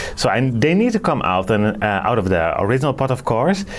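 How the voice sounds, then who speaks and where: A man talks with lively intonation against noticeable background noise. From northern Netherlands. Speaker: orchid grower, video creator. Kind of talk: casual video tutorial. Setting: greenhouse. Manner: halting, many fillers.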